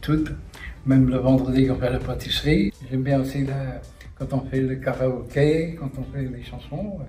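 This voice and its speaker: A man at medium pitch with fairly even intonation and a fairly slow pace, amid noticeable background noise and audible room echo. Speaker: retirement home resident. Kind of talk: interview.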